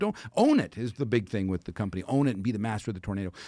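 With an American accent, a man speaks at a medium pitch with lively intonation. The recording is very clean, with a silent background. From Texas. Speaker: motivational speaker. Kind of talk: casual chat.

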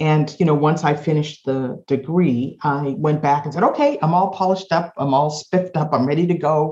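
A woman with an American accent has a dark, mellow tone, a very deep, low pitch and fairly even intonation. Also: fairly quick pace, hardly any pauses. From Boston, Massachusetts. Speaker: advertising agency founder. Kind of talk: interview.

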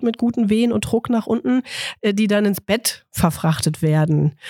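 With a dry, close sound and no echo, a woman speaks at medium pitch in a plain, everyday voice. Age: 40s. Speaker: midwife. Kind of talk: casual interview chat.

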